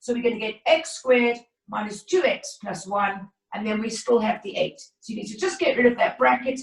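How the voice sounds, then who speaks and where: A woman's fairly high, lively voice at a fairly quick pace, an unremarkable speaking voice with big swings in loudness. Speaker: maths teacher. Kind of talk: online lesson. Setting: video call.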